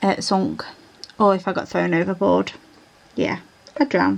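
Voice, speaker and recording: A woman with a Yorkshire accent. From England, South Yorkshire (Rotherham). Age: 30s. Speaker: diamond painting vlogger. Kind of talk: casual chat. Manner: chatty, informal.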